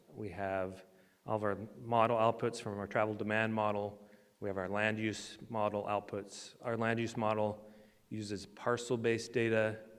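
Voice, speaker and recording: In a room with audible echo, a man with a fairly low pitch speaks at a moderate pace in a monotone, flat intonation. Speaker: transportation engineer, conference presenter. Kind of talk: conference presentation.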